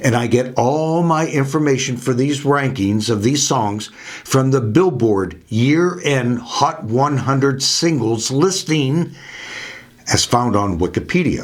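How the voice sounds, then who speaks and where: Audible room echo surrounds a man at medium pitch. He speaks at a very slow pace with very even loudness. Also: ordinary pitch variation. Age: 70s. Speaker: music video host. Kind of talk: scripted narration.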